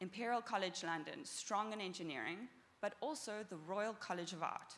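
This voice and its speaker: Lively intonation carries a woman's medium-pitched voice with a South African accent at a moderate pace. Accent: South African, noticeable. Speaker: startup founder and engineer. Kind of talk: conference talk. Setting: stage with audience.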